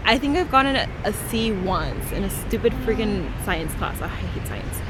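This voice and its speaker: Backed by music and audible room echo, a woman with an American accent speaks at a fairly high pitch with lively intonation. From Northern California. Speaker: study abroad student vlogger. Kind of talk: casual vlog chat. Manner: fast.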